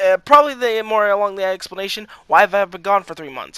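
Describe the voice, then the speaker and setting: A man with a high pitch speaks in a raised, projected voice with a bright, sharp tone and ordinary pitch variation. The recording is very clean, with a silent background and a dry, close sound with no echo. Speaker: gaming youtuber. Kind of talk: casual vlog update. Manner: halting.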